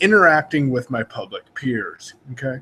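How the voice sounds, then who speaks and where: This man speaks with a West Coast US accent at a fairly slow pace. His pitch swings very widely. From Oregon. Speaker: online marketer. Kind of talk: casual informational talk. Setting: video call broadcast.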